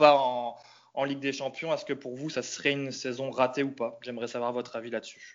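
At a fairly quick pace, a man talks in an unremarkable speaking voice at medium pitch. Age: 30s. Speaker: football fan. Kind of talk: casual chat.

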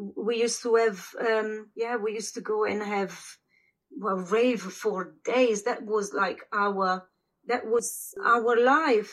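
A woman with an Italian accent speaks at a very slow pace in a fairly high voice with fairly even intonation. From Italy, small northern village. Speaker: former squatter, mother. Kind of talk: interview storytelling. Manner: halting.

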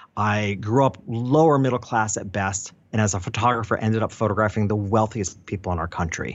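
This is a normal speaking voice with ordinary pitch variation. It moves at a fairly quick pace. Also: man. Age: 50s. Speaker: photographer and business coach. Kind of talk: interview conversation.

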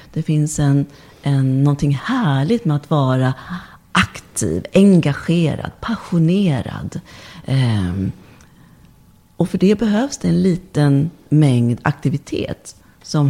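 A woman's very deep, low-pitched voice, dark and mellow in tone, with very wide pitch swings at a very slow pace. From born abroad, moved to Sweden at age four. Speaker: body and movement therapist, birth doula. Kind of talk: casual interview chat.

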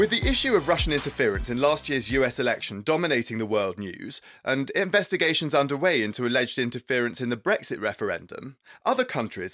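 Very fast and with hardly any pauses, a man talks with an English accent at a medium pitch. His intonation is lively, and the recording is very clean with a silent background. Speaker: podcast host, journalist. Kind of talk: scripted narration; news podcast chat. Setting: studio.

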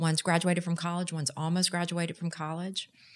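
A woman with a Texan accent and fairly low pitch, in a very clean recording with a silent background. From Texas. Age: 50s. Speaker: nonprofit executive director. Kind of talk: casual interview.

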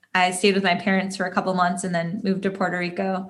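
Very fast speech comes through with a somewhat breathy quality. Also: woman. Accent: American. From US Midwest, Detroit. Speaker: tech company CEO. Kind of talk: interview. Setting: remote call.

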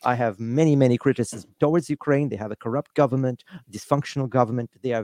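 A man with a Russian accent at a fairly quick pace, his tone dark and mellow, in dry, close sound with no echo. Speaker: political activist. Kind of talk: interview. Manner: hesitant, many fillers.

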